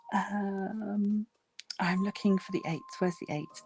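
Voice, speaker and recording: Very slow, relaxed speech from a woman with music in the background. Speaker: crafting YouTuber. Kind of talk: casual livestream chat. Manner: relaxed, hesitant with many ums.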